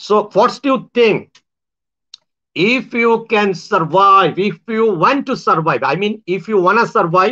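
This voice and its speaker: A man with a raised, projected voice and a high pitch speaks at a very slow pace in a bright, sharp tone, with long, frequent pauses. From Bangladesh. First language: Bengali. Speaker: self-styled spiritual speaker and astrologer. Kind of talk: monologue to viewers. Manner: halting, with many fillers; slow, deliberately simple English.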